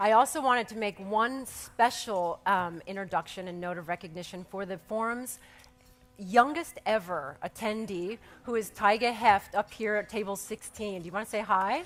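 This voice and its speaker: Her loudness swings widely as this woman speaks at a moderate pace, medium in pitch, with ordinary pitch variation. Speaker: museum executive director. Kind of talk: welcome speech. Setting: stage with audience. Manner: soft-spoken.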